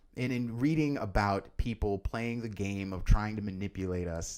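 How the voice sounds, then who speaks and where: Here a man speaks in an ordinary speaking voice. His pitch is fairly low and his pace fairly slow. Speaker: podcast host. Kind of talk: solo news commentary podcast.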